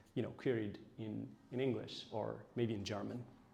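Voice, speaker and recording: Speaking with an Ethiopian accent, a man at medium pitch shows vocal fry and ordinary pitch variation. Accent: Ethiopian (Tigrinya) English. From Ethiopia (Tigray region). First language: Tigrinya. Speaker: AI researcher. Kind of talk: lecture. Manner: hesitant, many fillers.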